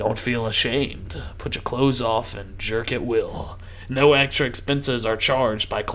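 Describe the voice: The text is just read out plainly. Nothing more than reading aloud happens here.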